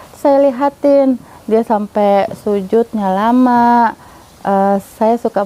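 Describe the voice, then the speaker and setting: A woman speaks with fairly even intonation. The sound is dry and close with no echo, though noticeable background noise is present. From Jakarta, Indonesia. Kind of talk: testimony. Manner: casual, with hesitations.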